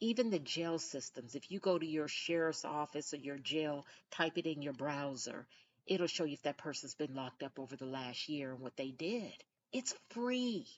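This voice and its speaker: A soft-spoken woman talks with a very deep, low pitch and lively intonation. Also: moderate pace. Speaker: podcast host. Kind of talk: casual monologue. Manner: soft-spoken, low-pitched.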